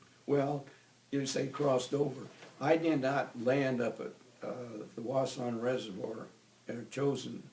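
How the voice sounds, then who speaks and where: Over noticeable background noise, a man of medium pitch speaks with an American accent at a fairly slow pace, with fairly even intonation and long, frequent pauses. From US Midwest, Iowa. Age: 80s+. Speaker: war veteran. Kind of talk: oral history interview.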